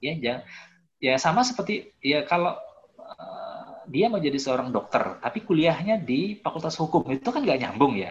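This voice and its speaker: Using very wide pitch swings, a high-pitched man speaks at a moderate pace. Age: 30s. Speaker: life coach reviewing a book. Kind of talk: online book discussion talk. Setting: video call. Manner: hesitant, many fillers and repetitions.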